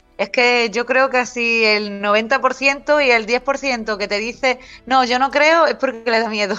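The speaker moves at a very slow pace with fairly even intonation. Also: woman, high pitch for a woman. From Cádiz, Andalusia, Spain. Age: 40s. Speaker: writer and paranormal researcher. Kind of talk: casual interview.

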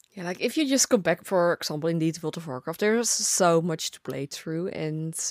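A woman with a Dutch accent at a moderate pace, her pitch swinging very widely, in a dry, close sound with no echo. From Netherlands. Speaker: gaming content creator. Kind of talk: casual chat.

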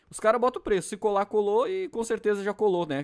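A man at a very fast pace, with a dry, close sound with no echo. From Rio Grande do Sul, southern Brazil. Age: 30s. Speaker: podcast co-host. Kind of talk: casual chat.

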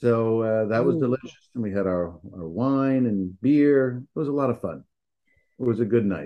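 In an American accent, a man with a normal speaking voice talks at a moderate pace and medium pitch with lively intonation. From New York. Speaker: podcast co-host. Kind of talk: casual chat. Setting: remote call. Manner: upbeat.

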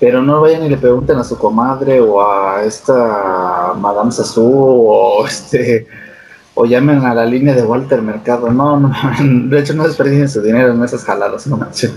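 A man keeps to a moderate pace. Noticeable background noise is heard behind him. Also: medium pitch for a man, ordinary pitch variation. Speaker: podcast co-host. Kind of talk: casual chat.

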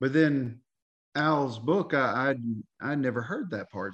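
Against a quiet background, a man with a fairly high pitch speaks in a Southern US accent. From Tennessee, Knoxville. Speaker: history enthusiast. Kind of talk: interview.

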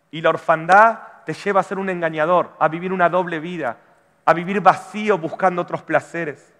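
With an Argentine accent, a man talks at a moderate pace with a high pitch and a bright, sharp tone. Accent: Argentine Spanish (voseo). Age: 40s. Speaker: pastor. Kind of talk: sermon. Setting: church.

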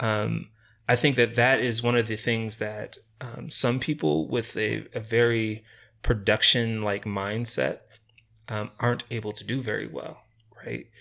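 In a very clean recording with a silent background, a man with an American accent speaks at a fairly slow pace, his medium-pitched tone bright and sharp, his intonation fairly even, and his loudness swinging widely. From Rochester, New York. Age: 30s. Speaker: non-profit founder. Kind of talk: interview conversation. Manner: hesitant, many fillers.

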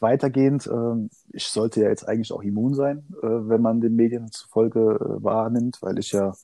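A man speaks at a moderate pace with a medium pitch. His tone is dark and mellow, and his intonation stays monotone and flat. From southern Hesse, Germany (Odenwald near Darmstadt). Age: 20s. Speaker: sim racing driver. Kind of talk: casual chat.

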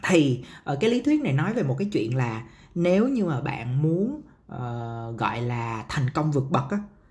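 In a room with audible echo, a man with a fairly high pitch and a somewhat breathy voice talks at a fairly slow pace with very wide pitch swings. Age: 30s. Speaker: podcast host, marketer. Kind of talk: solo podcast monologue. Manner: casual, many fillers.

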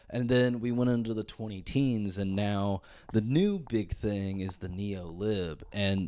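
A man speaks in a normal speaking voice, fairly low in pitch, at a fairly slow pace with ordinary pitch variation. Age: 30s. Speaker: podcast host. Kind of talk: solo rant, casual comedic monologue. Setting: solo podcast recording. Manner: rambling, filler-heavy, stumbling repeats.

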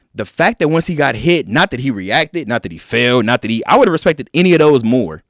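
Talking at a very fast pace with an American accent, a man with a medium-pitched voice and vocal fry swings his pitch very widely, recorded very cleanly against a silent background with a dry, close sound and no echo. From Inglewood, California, US. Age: 20s. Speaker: sports radio host. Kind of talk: casual sports talk.

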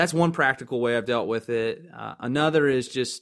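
Here is a normal speaking voice from a man with an American accent. He talks at medium pitch with ordinary pitch variation, in a very clean recording with a silent background. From Baltimore County, Maryland. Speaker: urban youth pastor. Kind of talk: casual chat.

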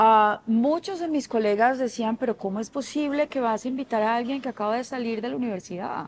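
A woman's fairly high voice with ordinary pitch variation, a normal speaking voice, hardly any pauses. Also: fairly quick pace. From Colombian Caribbean coast (Barranquilla). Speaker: fashion designer. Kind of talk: interview.

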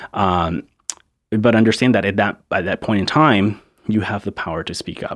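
With an American accent, a man speaks in a normal speaking voice at a fairly low pitch and a moderate pace. The sound is dry and close, with no echo. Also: ordinary pitch variation. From Charleston, South Carolina (born Ciudad Juarez, Mexico). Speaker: immigrant rights activist. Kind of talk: interview. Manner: casual, many fillers.

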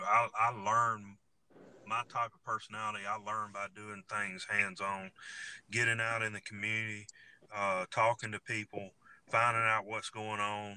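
With a Southern US accent, a man talks at a fairly low pitch in a bright, sharp tone, recorded with a dry, close sound and no echo. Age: 40s. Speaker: sheriff candidate and law enforcement officer. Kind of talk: interview. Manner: halting, repeats words.

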